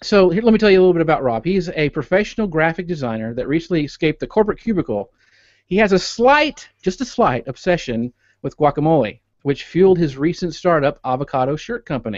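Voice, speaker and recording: A man talking at a very fast pace with very wide pitch swings, dry sound with no echo and a quiet background. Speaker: podcast host. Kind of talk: show intro and guest bio reading. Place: home room. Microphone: studio mic.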